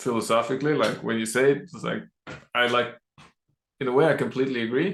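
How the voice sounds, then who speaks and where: A man with a Norwegian accent talks at a very fast pace in a medium pitch with vocal fry, ordinary pitch variation, big swings in loudness and long, frequent pauses. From Norway. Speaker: podcast host. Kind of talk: casual chat.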